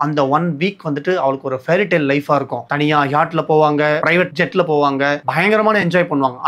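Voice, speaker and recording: A man speaks at a fairly high pitch with ordinary pitch variation. His loudness stays very even throughout. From Chennai, India. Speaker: film reviewer, YouTuber. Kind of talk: movie review narration, casual talk to camera.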